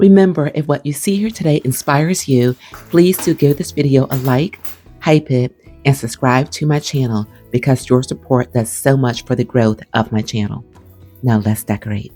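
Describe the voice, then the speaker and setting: A woman talks in a calm tone with very deep, low pitch and lively intonation. Music plays in the background. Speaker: home decor vlogger. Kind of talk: voiceover narration. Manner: slow.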